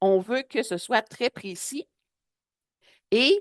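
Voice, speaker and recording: With a Quebec accent, a woman speaks at a fairly high pitch with lively intonation in a dry, close sound with no echo. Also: quiet background. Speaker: public health advocate and trainer. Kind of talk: webinar presentation.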